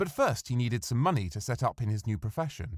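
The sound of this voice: The speaker moves at a moderate pace with big pitch swings, in a very clean recording with a silent background. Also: man.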